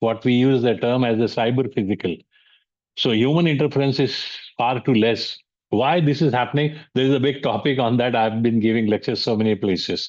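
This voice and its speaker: In an Indian accent, a man talks at a fairly quick pace and a medium pitch. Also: quiet background. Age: 70s. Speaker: business mentor and speaker. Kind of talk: lecture. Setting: online webinar. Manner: halting, many fillers.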